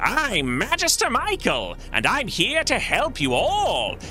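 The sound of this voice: Against clear background noise, a put-on character voice comes through at a fairly slow pace.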